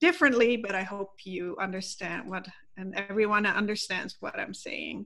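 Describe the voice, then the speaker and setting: A woman with a Dutch accent speaks at a medium pitch and a moderate pace, her tone bright and sharp with vocal fry. Her intonation is fairly even with big swings in loudness, on a very clean recording with a silent background. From Netherlands. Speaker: wellness coach. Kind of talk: interview.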